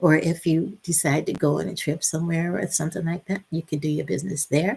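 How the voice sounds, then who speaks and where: A woman with a fairly low pitch speaks at a fairly quick pace and sounds somewhat breathy. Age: 70s. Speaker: retired teacher, online business promoter. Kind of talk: live stream sales pitch. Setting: live video stream. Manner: halting, repetitive.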